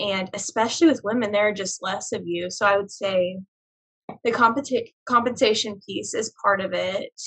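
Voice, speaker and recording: An American-accented woman talks in an unremarkable speaking voice at a medium pitch. Her pace is moderate, with ordinary pitch variation. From Oklahoma, Tulsa. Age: young. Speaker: business development director and business owner. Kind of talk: casual interview.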